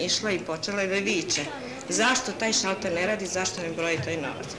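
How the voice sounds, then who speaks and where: Noticeable background noise sits behind a woman whose fairly low voice carries ordinary pitch variation. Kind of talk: interview answer.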